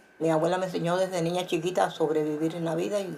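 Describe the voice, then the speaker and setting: Over noticeable background noise, a woman with a very deep, low voice talks at a very fast pace with fairly even intonation. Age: 70s. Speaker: Cuban resident interviewee. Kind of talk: interview.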